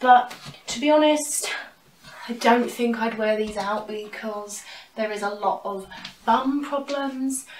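A woman with a British accent speaks at a very slow pace in a fairly high pitch, with audible room echo and light background noise. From UK. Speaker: YouTuber, fashion and thrift haul creator. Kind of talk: casual vlog, try-on haul. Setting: at home, in her room. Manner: chatty, animated, casual. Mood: light, self-joking. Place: home room. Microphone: camera far.

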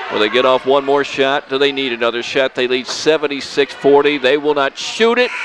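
Recorded dry with no echo amid noticeable background noise, a man speaks at medium pitch. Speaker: local sports radio announcer. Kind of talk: live radio basketball play-by-play commentary. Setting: gym, broadcast at a basketball game. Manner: stays upbeat and chatty, adds background on players between plays. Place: hall.

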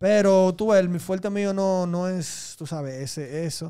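Speaking at a fairly slow pace with a Dominican accent, a man has a dark, mellow tone against a quiet background. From Dominican Republic, raised in Santo Domingo. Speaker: reggaeton artist; interview guest. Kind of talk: casual interview. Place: studio. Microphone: studio mic.

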